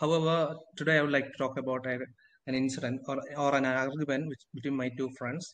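A man at a very fast pace and fairly high pitch, monotone, flat intonation, long, frequent pauses, quiet background. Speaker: IELTS student. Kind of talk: speaking test practice answer. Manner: halting, hesitant. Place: home room. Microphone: video call.

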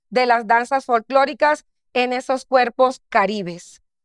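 In a dry sound with no echo, a woman speaks in a high voice at a fairly slow pace with fairly even intonation. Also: quiet background. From Colombian Caribbean coast, Barranquilla; Colombian Caribbean coast. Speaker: dance professor and artistic director; dance professor. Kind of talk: academic paper reading. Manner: formal. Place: stage. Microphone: headset.

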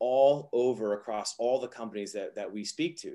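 A man is speaking at a moderate pace. There is little noise behind him. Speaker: interview guest. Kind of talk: interview answer. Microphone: video call.

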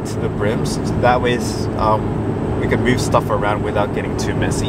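Loud background noise runs behind a man speaking at a fairly slow pace, with a dry sound and no echo. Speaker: vlogger. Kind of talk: casual vlog chat. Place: car.

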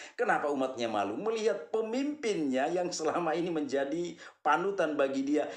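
A man at a moderate pace, with audible room echo and a quiet background. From Flores, eastern Indonesia. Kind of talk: monologue, commentary on religion. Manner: repetitive, earnest, addresses audience warmly. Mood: critical, scolding. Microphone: phone near.

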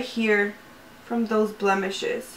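A woman talks at a fairly slow pace. She has a slight Spanish accent. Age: 20s. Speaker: beauty YouTuber. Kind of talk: casual talk to camera, makeup review. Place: home room.

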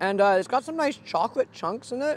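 With a dry sound and no echo, a man's voice makes very wide pitch swings. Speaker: food vlogger. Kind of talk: casual food review vlog. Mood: cheerful, playful. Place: open country. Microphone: lapel.

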